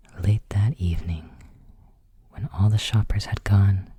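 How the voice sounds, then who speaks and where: Soft-spoken, with a moderate pace. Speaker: ASMR creator. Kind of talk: bedtime story reading.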